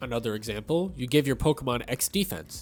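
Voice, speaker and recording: With music in the background, a man speaks at a moderate pace and medium pitch, with ordinary pitch variation. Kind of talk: gaming commentary narration.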